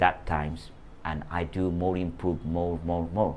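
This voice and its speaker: A man talks at a moderate pace with a Bengali accent. His pitch is very deep and low. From Bangladesh. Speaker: former language student. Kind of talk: motivational talk. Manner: halting.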